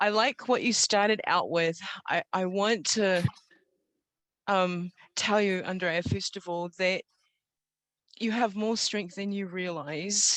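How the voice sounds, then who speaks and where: A woman with a New Zealand accent speaks at a very slow pace and a medium pitch, her fairly even intonation broken by long, frequent pauses, in a dry, close recording with no echo. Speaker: storyteller. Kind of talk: testimony. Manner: unscripted, with hesitations.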